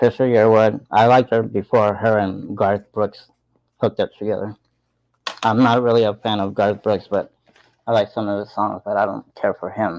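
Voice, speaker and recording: A man's fairly low voice in monotone, flat intonation, at a moderate pace. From Tucson, Arizona. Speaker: live-stream vlogger. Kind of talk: casual live chat.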